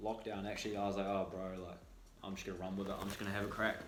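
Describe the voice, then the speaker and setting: A man speaks with a New Zealand accent at a fairly low pitch. There is audible room echo. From New Zealand, Auckland. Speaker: student entrepreneur and podcaster. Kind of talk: casual chat.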